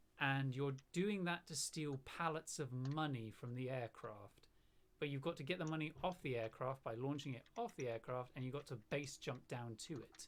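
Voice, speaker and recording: A man's fairly high voice with a slight southern British accent, at a moderate pace and with ordinary pitch variation. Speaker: gamer. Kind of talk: casual chat.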